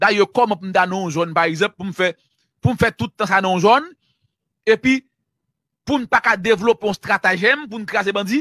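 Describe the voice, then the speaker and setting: The speaker talks at a fairly quick pace with a Haitian accent. Long, frequent pauses break up the speech. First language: Haitian Creole (speaking French). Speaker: journalist. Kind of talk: news commentary.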